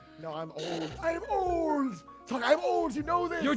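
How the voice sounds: Someone speaks in a put-on character voice at a fairly slow pace. Clear music plays in the background.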